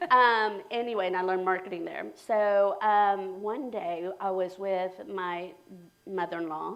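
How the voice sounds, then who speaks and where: A woman at a medium pitch with a Spanish accent, speaking at a fairly slow pace with fairly even intonation amid audible room echo. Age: 50s. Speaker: realtor. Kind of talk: interview. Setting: live stream.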